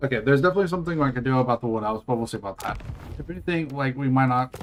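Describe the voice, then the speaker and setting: A very fast-paced man's voice at medium pitch, with ordinary pitch variation and noticeable background noise. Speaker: gaming streamer. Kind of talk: livestream gameplay commentary. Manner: casual, halting.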